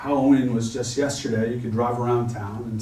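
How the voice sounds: Intonation stays fairly even in this natural reading voice.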